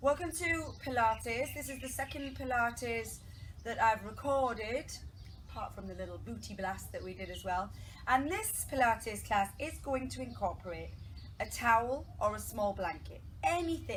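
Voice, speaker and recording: Over light background noise, a woman speaks with big swings in loudness. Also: moderate pace. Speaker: pilates instructor. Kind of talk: fitness class instruction. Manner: raised voice, near shouting. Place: garden. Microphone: camera far.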